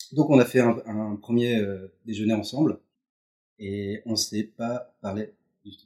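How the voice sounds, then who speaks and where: A medium-pitched man with a dark, mellow tone, very slow pace, fairly even intonation and big swings in loudness. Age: 30s. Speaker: creative writer, former journalist. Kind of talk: casual interview. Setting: at home. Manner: casual, repetitive stammering.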